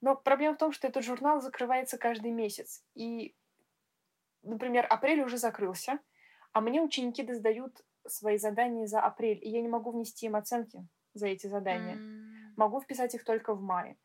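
At a moderate pace, a woman speaks in a fairly high voice with fairly even intonation and long, frequent pauses. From Russia. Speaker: music school teacher and podcast co-host. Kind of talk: casual chat. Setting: online call.

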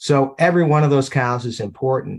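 Speaking at a moderate pace, a man talks with an Upper Midwest accent. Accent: Upper Midwest American. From Wisconsin, Baraboo. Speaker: dairy industry executive. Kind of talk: interview.

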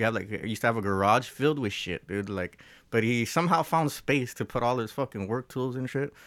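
Speaking with an American accent at a fairly quick pace, a man uses ordinary pitch variation on a very clean recording with a silent background. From Los Angeles, US. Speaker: musician. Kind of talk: casual chat. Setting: studio.

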